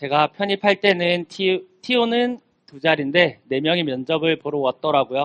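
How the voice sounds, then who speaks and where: A man speaks in a high pitch. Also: dry, close sound with no echo. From South Korea, Gimhae (Gyeongnam). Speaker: young farmer, speaker. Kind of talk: talk to students. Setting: stage with audience.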